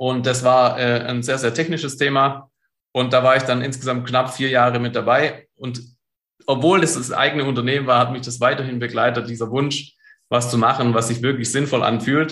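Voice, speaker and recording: Delivered in a monotone, flat intonation at a moderate pace, the speech carries audible room echo. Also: man, medium pitch for a man. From Stuttgart, southwest Germany. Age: 30s. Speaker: entrepreneur and coach. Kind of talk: interview.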